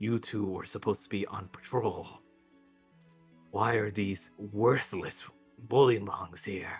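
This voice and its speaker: A man's put-on character voice, fairly low in pitch and fairly slow, with long, frequent pauses and faint music in the background. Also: fairly even intonation. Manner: authoritative, commanding.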